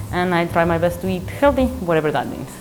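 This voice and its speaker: A woman with a Spanish accent talks at a very fast pace, with audible room echo. Music plays in the background. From Mexico. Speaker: math professor. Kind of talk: interview. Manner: halting, with fillers and repeats.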